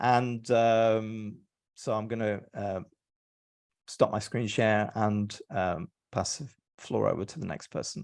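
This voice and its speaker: Very slow speech from a man with an English accent, medium in pitch, with ordinary pitch variation, long, frequent pauses and a quiet background. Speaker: EMF educator and presenter. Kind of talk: webinar presentation. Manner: hesitant, many filler words.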